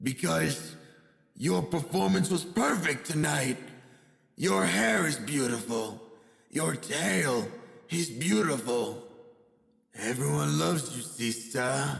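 A man does a put-on character voice at a medium pitch with very wide pitch swings. He goes fairly slowly, with long, frequent pauses. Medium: dub.

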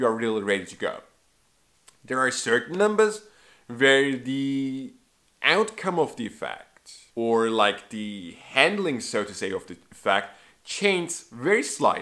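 This man's bright, sharp voice moves at a fairly slow pace, with very wide pitch swings and big swings in loudness against a quiet background. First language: not English. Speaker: magic trick reviewer. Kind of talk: product review. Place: home room.

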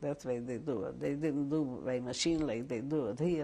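The tone is dark and mellow, and the intonation stays fairly even. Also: woman. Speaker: interviewee. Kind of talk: interview answer. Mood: warm, reminiscing. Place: home room.

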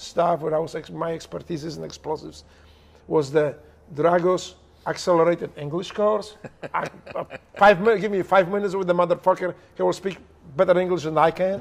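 A man with a Polish accent speaks in a high voice with fairly even intonation. His pace is fairly quick, yet long, frequent pauses break it up. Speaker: former special operations operator. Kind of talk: heavily profane, casual storytelling. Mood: humorous, animated. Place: home room.

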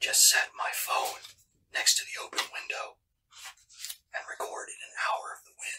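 Whispering is all that comes from the man. His pace stays moderate. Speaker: ASMR creator. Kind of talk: ASMR whispering. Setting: home, indoors. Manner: whispered. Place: home room.

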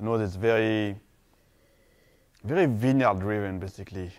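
A man speaks with a French accent at a fairly low pitch. Behind him the background is quiet. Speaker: winemaker. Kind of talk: wine tasting description. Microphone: lapel.

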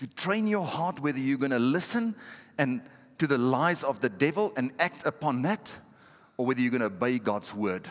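A man's animated tone with very wide pitch swings at a moderate pace, over a quiet background. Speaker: pastor. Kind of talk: sermon. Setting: church. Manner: animated, exhortative, call-and-response with the congregation. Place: church. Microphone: headset.

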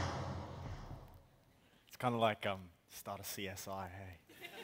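A man speaks at a very slow pace in a monotone, flat way. Light background noise is present. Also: fairly low pitch for a man. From Australia. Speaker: slam poet. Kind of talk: casual talk to a live audience. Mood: playful, grinning. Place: stage. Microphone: headset.

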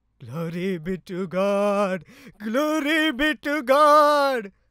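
In a cartoonish character voice pitched high, a man speaks at a very slow pace in a very clean recording with a silent background. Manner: ecstatic, exclaiming.

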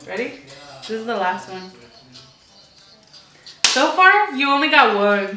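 A woman uses a raised, projected voice against noticeable background noise. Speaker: vlogger. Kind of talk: casual talk to camera, playing a game with a friend. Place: home room.

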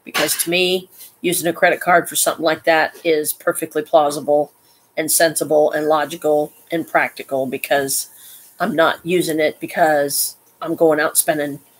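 Speaking at a moderate pace, a woman uses a very deep, low pitch and a monotone, flat intonation. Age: 50s. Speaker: live streamer; vlogger. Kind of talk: casual live stream monologue; casual vlog chat. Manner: halting, many fillers. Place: home room. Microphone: webcam.

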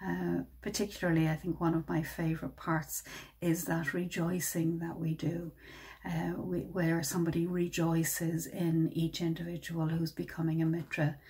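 The voice has a dark, mellow tone with vocal fry, monotone, flat intonation, very even loudness and a moderate pace, set against a quiet background. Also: woman, fairly low pitch for a woman. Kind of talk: reflective dharma talk. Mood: warm, gentle, happy. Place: home room.

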